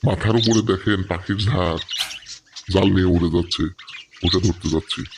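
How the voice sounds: A cartoonish character voice from a man, very deep and low in pitch, at a moderate pace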